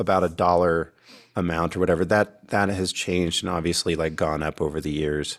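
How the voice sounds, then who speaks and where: The recording is very clean, with a silent background. The intonation stays fairly even. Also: man. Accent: American. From California. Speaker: singer-songwriter. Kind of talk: casual interview chat.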